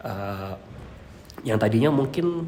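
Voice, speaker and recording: A man's medium-pitched voice in audible room echo. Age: 20s. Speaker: electrical engineering lecturer. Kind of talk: interview. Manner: hesitant with many fillers.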